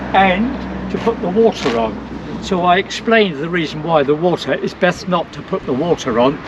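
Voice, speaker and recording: Against noticeable background noise, a man speaks at a moderate pace in a high voice. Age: old. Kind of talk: interview answer.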